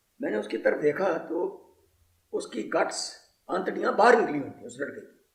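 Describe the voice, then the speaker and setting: A man's loudness swings widely, with audible room echo around his voice. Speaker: war veteran. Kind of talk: testimony.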